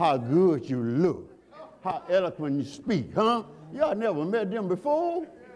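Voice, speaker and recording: A man talks at a fairly slow pace with an animated tone and very wide pitch swings. Noticeable background noise can be heard. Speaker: preacher. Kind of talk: sermon. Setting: church. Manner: animated, call-and-response preaching with folksy, teasing humor.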